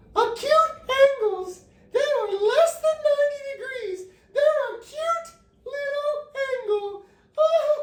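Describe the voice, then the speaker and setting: A squeaky, put-on character voice that sounds female, pitched extremely high, crawls along at a very slow pace. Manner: annoying, cutesy.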